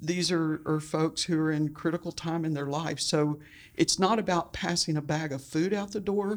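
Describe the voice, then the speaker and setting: An unremarkable speaking voice from a woman with an American accent, fairly low in pitch and fairly even in intonation, at a moderate pace on a very clean recording with a silent background. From Texas, Houston. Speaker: church outreach director. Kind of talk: interview.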